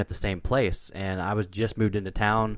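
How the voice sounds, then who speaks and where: In a very clean recording with a silent background, someone speaks with a Pacific Northwest accent. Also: man. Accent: American, Pacific Northwest. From US Pacific Northwest, Portland, Oregon. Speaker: business consultant and entrepreneur. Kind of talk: interview.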